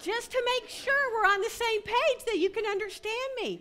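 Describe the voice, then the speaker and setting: Bright and sharp in tone, a woman with a Southern US accent speaks at an extremely high pitch. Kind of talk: humorous talk at a women's retreat. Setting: stage with audience. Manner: animated.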